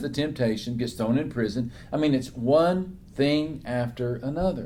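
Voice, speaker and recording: At a fairly slow pace, a man speaks in a medium pitch with a dark, mellow tone. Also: ordinary pitch variation. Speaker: author and preacher, interview guest. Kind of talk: interview answer, sermon-like Bible talk.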